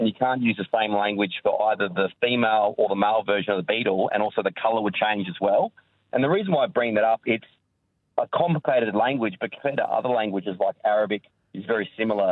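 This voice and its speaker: Talking very fast with ordinary pitch variation, a man speaks in an Australian accent. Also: medium pitch for a man. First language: Maltese (learned alongside English). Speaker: caller, electrician. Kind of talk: radio call-in.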